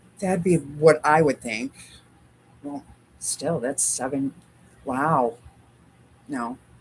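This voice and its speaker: A woman's very deep, low voice at a very slow pace, with long, frequent pauses and big swings in loudness. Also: ordinary pitch variation. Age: 60s. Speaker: quilting livestream host. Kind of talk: casual livestream chat. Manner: chatty, talks to dog.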